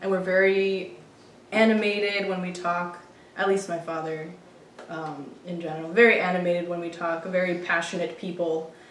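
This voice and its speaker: Noticeable background noise and audible room echo surround speech delivered at a moderate pace with monotone, flat intonation. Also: woman, fairly low pitch for a woman. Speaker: podcast co-host, partner of a regular. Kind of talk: casual chat.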